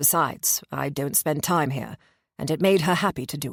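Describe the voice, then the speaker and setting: Using a put-on character voice with a very deep, low pitch, a woman speaks at a moderate pace on a very clean recording with a silent background. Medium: read story. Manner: dry, terse, guarded.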